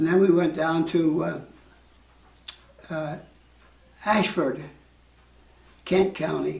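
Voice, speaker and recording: The speech moves at a very slow pace in a monotone, flat intonation against noticeable background noise. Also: man. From Utah, United States. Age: 80s+. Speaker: war veteran. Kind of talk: interview answer.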